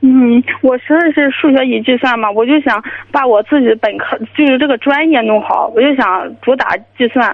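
Here a woman speaks at a moderate pace in a high pitch. Her loudness stays very even, with ordinary pitch variation. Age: 20s. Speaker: caller, university student. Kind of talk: phone-in advice call.

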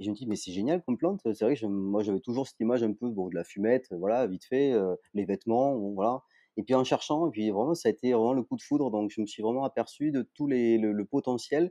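A man's dark, mellow voice at a medium pitch with a slight southern French accent, ordinary pitch variation, a fairly quick pace and hardly any pauses, dry and close with no echo against a quiet background. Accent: slight sing-song southern French. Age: 40s. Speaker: entrepreneur. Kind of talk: interview. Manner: hesitant, many fillers.

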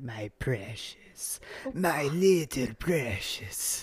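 A raspy, put-on character voice sits at a low-to-middle pitch. The pace is very slow. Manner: covetous, gloating.

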